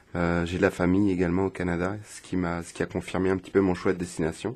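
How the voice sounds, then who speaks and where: A man speaks at a moderate pace. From France. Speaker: radio guest. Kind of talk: interview.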